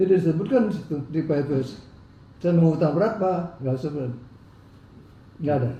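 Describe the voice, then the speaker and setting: A man with a fairly high pitch and ordinary pitch variation, at a fairly quick pace broken by long, frequent pauses, in audible room echo. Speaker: businessman in legal dispute. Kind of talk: interview.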